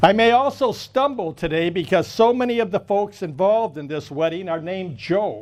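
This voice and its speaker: A man with a high-pitched voice talks loudly at a moderate pace with lively intonation, hardly pausing at all. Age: 70s. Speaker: wedding officiant, lawyer. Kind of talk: wedding ceremony speech. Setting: wedding ceremony with audience.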